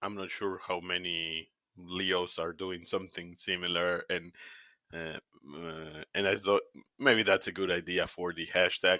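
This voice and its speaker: This man speaks at a fairly slow pace. He has a Spanish accent. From Argentina, Buenos Aires. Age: 50s. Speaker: technical product manager. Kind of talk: interview. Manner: halting.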